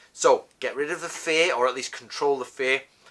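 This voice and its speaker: Speaking with a Northern English accent, a man has a fairly high pitch and ordinary pitch variation. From northern England. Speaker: martial arts teacher. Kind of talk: tutorial. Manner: casual, conversational with self-corrections.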